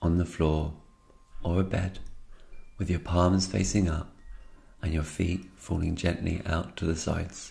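A man talks at a moderate pace in a very deep, low pitch, his tone dark and mellow and somewhat breathy. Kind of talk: yoga nidra guided meditation.

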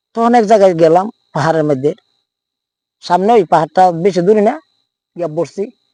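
A man speaks in a dark, mellow tone. The sound is dry and close, with no echo.

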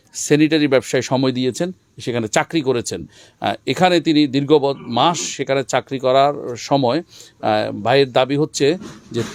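An ordinary speaking voice with ordinary pitch variation. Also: man. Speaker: field reporter for an Islamic foundation's channel. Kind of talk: on-site report and street interviews.

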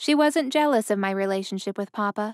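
The speaker reads aloud. The delivery is plain.

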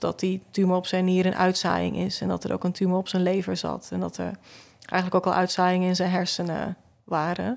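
The background stays quiet. The speaker is a woman. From Flanders (southern Belgium). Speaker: photographer and visual artist; podcast guest. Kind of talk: casual chat. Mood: calm, reflective, grieving topic. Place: studio. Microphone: studio mic.

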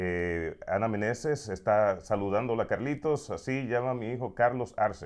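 With no noise in the background, the delivery keeps a moderate pace. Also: man. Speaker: radio host. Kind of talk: casual interview chat. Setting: studio. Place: studio. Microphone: lapel.

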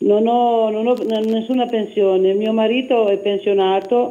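Through audible room echo, a woman speaks at a very slow pace with ordinary pitch variation. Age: 60s. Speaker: caller. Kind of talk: phone-in question. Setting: phone call.

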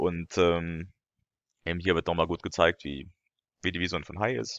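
A man's very deep, low voice with vocal fry at a moderate pace, dry and close with no echo, against a quiet background. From France. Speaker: YouTuber and lecturer. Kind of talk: video commentary. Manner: hesitant, many fillers.

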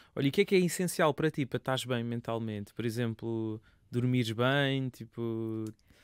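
On a very clean recording with a silent background and a dry, close sound with no echo, a man speaks in a plain, everyday voice at a medium pitch and a moderate pace, with ordinary pitch variation. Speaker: radio interviewer host. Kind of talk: casual interview. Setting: radio studio.

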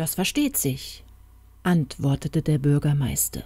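A woman speaks in a dark, mellow tone. Her voice is calm and soothing. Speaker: audiobook narrator. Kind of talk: fairy tale narration, reading aloud. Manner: storytelling, slow and calm, soothing.

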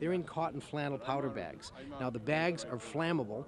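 A man at a fairly quick pace with ordinary pitch variation, a dry sound with no echo, and noticeable background noise. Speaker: historical reenactor artilleryman. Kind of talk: interview answer, explanatory demonstration. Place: open country. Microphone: handheld.

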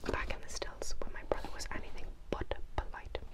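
Soft-spoken at a moderate pace, the speaker is heard over loud background noise. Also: woman. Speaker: book reader. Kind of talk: reading a novel aloud. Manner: soft, hushed ASMR reading voice. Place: home room. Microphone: lapel.

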